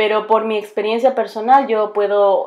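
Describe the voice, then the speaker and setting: A woman's voice over a quiet background. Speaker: bilingual teacher and graduate student. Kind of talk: recorded class presentation. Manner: halting, many fillers and restarts.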